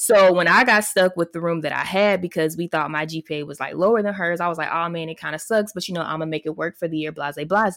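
On a very clean, dry, close recording with no echo and a silent background, a woman with a fairly low pitch and ordinary pitch variation has a normal speaking voice. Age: 20s. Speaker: podcast co-host. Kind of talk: casual chat.

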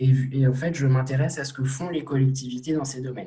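Somewhat breathy, a man talks at medium pitch in a dark, mellow tone with fairly even intonation. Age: 20s. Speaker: young political activist. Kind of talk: interview.

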